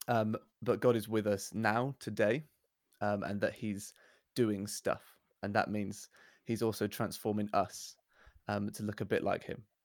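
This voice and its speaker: A man speaks at a fairly slow pace in a southern English accent, his fairly low pitch held monotone and flat, with long, frequent pauses on a very clean recording with a silent background. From southern England. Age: 20s. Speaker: church worship and outreach worker. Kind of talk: casual chat.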